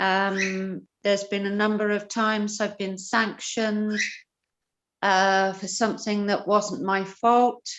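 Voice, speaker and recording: Against a quiet background, the speech moves at a very slow pace with flat, monotone intonation. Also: woman. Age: 60s. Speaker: audience member. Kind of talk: testimony. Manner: halting.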